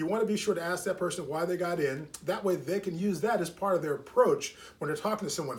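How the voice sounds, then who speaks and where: Very fast and high-pitched, a man talks with ordinary pitch variation. There is noticeable background noise. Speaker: network marketing team leader. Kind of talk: training talk.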